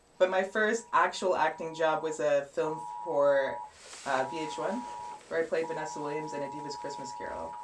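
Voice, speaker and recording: Speaking with a Canadian accent, a woman uses a very deep, low pitch and very wide pitch swings over noticeable background noise. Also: moderate pace, big swings in loudness. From Canada, Cornwall Ontario. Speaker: model and actress. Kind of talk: interview. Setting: live stream.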